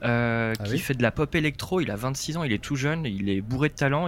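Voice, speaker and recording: A man speaks at a moderate pace in an ordinary speaking voice, medium in pitch with ordinary pitch variation. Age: 20s. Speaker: radio journalist. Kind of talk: casual interview, travel story.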